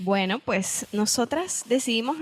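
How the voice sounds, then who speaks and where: Noticeable background noise sits behind a woman who talks at a very slow pace with ordinary pitch variation. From Venezuela, San Cristóbal (Andean). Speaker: podcast co-host. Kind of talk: casual chat.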